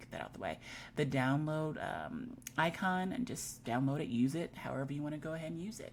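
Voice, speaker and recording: Over light background noise, a woman with a very deep, low pitch and vocal fry talks at a moderate pace with lively intonation. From Germany. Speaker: digital product creator and tutorial host; teacher making a tutorial. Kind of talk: screen-share tutorial. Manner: casual, chatty with self-corrections.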